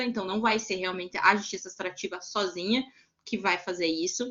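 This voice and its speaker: Her voice varies in pitch in an ordinary way. A woman is talking at a medium pitch. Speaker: lawyer and restorative justice instructor. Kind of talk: online lecture. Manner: hesitant fillers.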